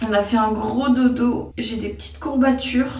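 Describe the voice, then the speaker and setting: A woman speaks at a very slow pace with audible room echo. Music plays in the background. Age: 20s. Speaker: lifestyle vlogger. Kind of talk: vlog. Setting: outdoors. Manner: animated.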